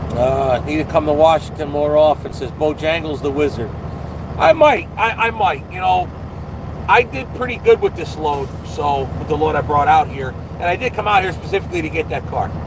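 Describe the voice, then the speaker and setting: Over noticeable background noise, a man with a New Jersey accent talks at a moderate pace in a fairly high pitch. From New Jersey, US. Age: 50s. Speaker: truck driver and vlogger. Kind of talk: live stream chat reading viewer comments. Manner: casual, hesitant with fillers.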